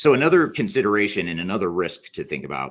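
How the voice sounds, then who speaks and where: A man speaks at a fairly quick pace, his voice showing vocal fry. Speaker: business consultant. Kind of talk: webinar presentation. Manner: fast.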